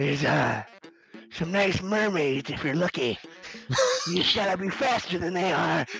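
In a put-on character voice, a man talks at a fairly slow pace with a high pitch. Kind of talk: comic tabletop improv. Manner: sleazy, overly friendly, boastful.

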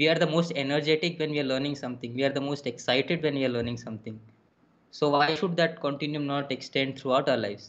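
A man with a fairly high pitch talks at a very fast pace with fairly even intonation. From India. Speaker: drummer and music educator; music educator. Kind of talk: casual interview. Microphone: webcam.

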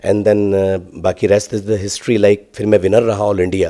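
Against a quiet background, a man speaks at a fairly slow pace. His voice sits fairly low in pitch and has a dark, mellow tone. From Indore, central India; central India. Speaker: singer; interviewee. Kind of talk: interview. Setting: university campus. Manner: halting. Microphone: handheld.

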